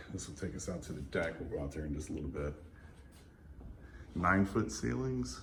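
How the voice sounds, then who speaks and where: A man speaks with vocal fry. Audible echo fills the room. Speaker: real estate agent. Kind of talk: home tour walkthrough. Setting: walking through a house. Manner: fast; casual, hesitant fillers.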